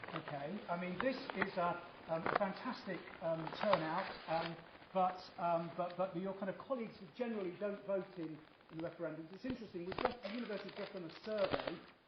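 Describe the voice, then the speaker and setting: Over noticeable background noise and audible room echo, a man with a British accent speaks at a fairly quick pace in a high voice with ordinary pitch variation. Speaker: professor chairing a debate. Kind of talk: debate chairing remarks. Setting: university hall with audience. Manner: hesitant, many repetitions and fillers.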